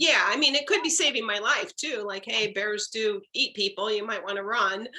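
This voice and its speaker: A woman talks at a moderate pace with a fairly high pitch and ordinary pitch variation. She has an ordinary speaking voice. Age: 60s. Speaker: workshop participant. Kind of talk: group discussion.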